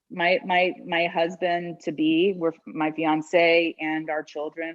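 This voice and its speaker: A woman's fairly low voice at a very slow pace. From Brazil. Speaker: food writer and podcaster. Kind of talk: interview answer.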